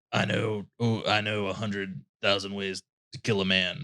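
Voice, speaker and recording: A man puts on a gruff character voice at a fairly low pitch. He keeps a moderate pace. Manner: menacing, boastful.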